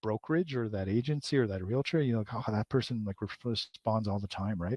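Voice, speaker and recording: Very fast male speech with ordinary pitch variation. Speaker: marketing instructor. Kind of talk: webinar presentation. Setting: live webinar.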